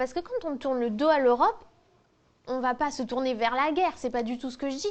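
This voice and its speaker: A woman speaks at high pitch. Her intonation is lively. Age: 20s. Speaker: history and geography teacher. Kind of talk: interview testimony. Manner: hesitant, many fillers.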